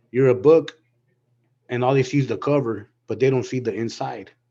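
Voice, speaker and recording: A man's medium-pitched voice with an American accent, fairly even intonation and a moderate pace. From Southern California. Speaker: panelist sharing personal testimony. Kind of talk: testimony. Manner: halting, repetitive.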